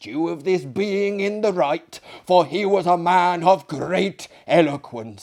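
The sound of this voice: An unforced reading voice flows with fairly even intonation.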